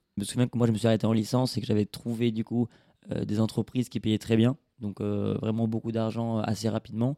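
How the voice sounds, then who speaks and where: Speaking at a very fast pace, a man uses medium pitch, a dark, mellow tone and monotone, flat intonation. The recording is dry and close with no echo. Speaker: podcast host. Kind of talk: interview.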